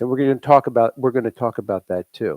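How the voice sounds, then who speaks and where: Talking very fast in a medium pitch, a man with a slight Long Island accent comes through dry and close, with no echo. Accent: slight New York (Long Island). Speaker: private music instructor and livestream co-host. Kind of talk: casual live chat. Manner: halting, many restarts.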